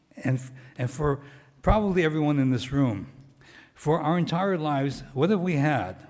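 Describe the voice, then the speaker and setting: A man's fairly high voice with lively intonation at a moderate pace, plus audible room echo. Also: long, frequent pauses. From US, Japanese American family. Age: 70s. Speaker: former county human relations director, guest speaker. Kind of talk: talk to church congregation.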